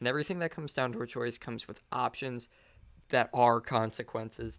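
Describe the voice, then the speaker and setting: A man talks at a medium pitch and a moderate pace, with ordinary pitch variation. He has an unremarkable speaking voice. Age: 20s. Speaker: podcast host. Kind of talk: solo monologue podcast. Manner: casual, filler-heavy.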